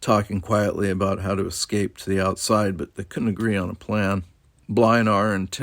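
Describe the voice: Someone reads the text aloud in a plain way.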